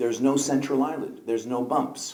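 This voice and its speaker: Audible room echo surrounds a man's fairly high-pitched voice. It has a dark, mellow tone with vocal fry. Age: 60s. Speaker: eye surgeon. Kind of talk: conference lecture. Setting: conference hall with audience.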